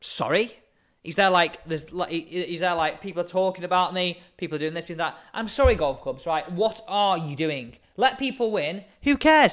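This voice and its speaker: In a very clean recording with a silent background, a man speaks with an English accent. His high-pitched voice carries lively intonation. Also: fairly quick pace. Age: 20s. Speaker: podcast host. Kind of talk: casual chat.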